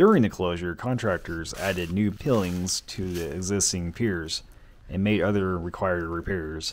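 A man talks at a moderate pace with a very deep, low pitch. Light background noise is present. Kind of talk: casual exploration vlog narration. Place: open country. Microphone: phone near.

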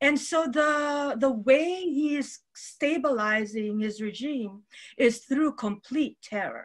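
A woman with a high pitch and ordinary pitch variation, at a very slow pace against a quiet background. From Philippines. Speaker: novelist; panelist. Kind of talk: panel discussion. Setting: video call. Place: home room. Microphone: webcam.

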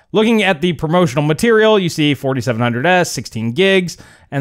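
Against a quiet background, a man talks at a moderate pace. His pitch swings very widely. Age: 40s. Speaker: tech YouTuber. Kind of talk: video commentary. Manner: conversational. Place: home room. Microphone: studio mic.

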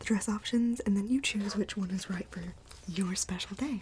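Soft-spoken and gentle in tone, a woman talks with fairly even intonation over light background noise. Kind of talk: role-play sales consultation. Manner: soft, gentle ASMR speaking voice.

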